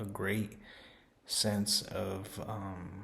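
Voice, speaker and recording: A man's fairly low, monotone, flat voice amid audible room echo. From Los Angeles, California. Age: 20s. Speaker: program participant. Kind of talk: testimonial. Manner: hesitant, many fillers.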